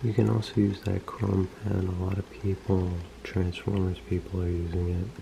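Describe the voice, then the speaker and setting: Whispering and soft-spoken, a man talks at a moderate pace over noticeable background noise. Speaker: toy customizer and video creator. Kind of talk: tutorial. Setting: home, close to camera. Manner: whispering, soft-spoken.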